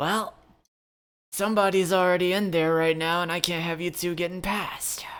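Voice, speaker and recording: In a very clean recording with a silent background, a put-on character voice at a middle pitch talks at a moderate pace with monotone, flat intonation. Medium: actual play. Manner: casual, confident.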